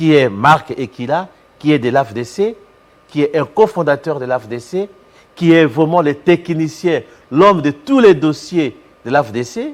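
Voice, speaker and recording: A man's plain, everyday voice, fairly high-pitched, at a fairly slow pace, with lively intonation and big swings in loudness. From DR Congo, Équateur province (Bassankusu). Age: 60s. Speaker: professor and politician. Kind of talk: TV interview.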